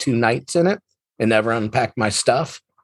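Fairly quick and lively in intonation, a man uses an ordinary speaking voice, the sound dry and close with no echo. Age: 40s. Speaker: stand-up comedian. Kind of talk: casual chat.

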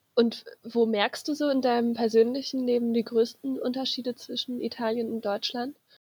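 A woman talks with a high pitch and hardly any pauses. Her intonation is monotone and flat. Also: moderate pace. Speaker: podcast co-host. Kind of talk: casual chat.

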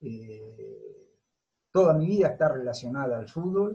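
A man with a fairly high pitch and a dark, mellow tone talks at a very slow pace with very wide pitch swings. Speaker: football coach. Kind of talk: interview.

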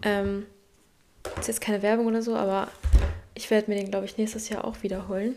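A woman at a medium pitch talks at a very fast pace yet with long, frequent pauses, in a monotone, flat intonation over noticeable background noise. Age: 20s. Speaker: podcast host. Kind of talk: motivational monologue. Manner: direct, emphatic.

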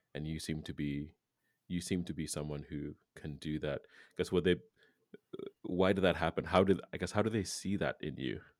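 At a moderate pace, the speaker shows ordinary pitch variation and takes long, frequent pauses. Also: man, very deep, low pitch for a man. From Kenya. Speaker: podcast host. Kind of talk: podcast interview.

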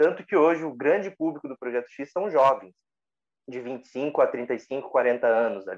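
Speaking in a normal speaking voice, a man talks at a fairly slow pace in a fairly high pitch, with lively intonation and big swings in loudness. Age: 30s. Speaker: meditation teacher. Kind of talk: casual chat.

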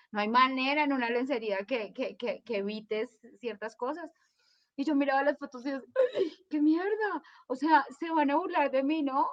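A woman speaks at a moderate pace in a high-pitched voice. The sound is dry and close, with no echo. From Colombia. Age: 40s. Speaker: lawyer and life coach. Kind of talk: casual interview chat.

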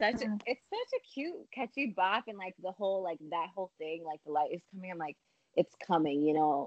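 Her voice is a plain, everyday voice at medium pitch, with lively intonation and a moderate pace, recorded with a dry, close sound and no echo. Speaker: guest, recent college graduate. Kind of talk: casual interview chat. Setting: video call.

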